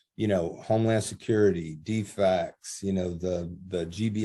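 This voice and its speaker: A dark, mellow tone with an American accent. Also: man. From USA. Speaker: gang intervention specialist and author. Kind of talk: interview. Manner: loud; animated.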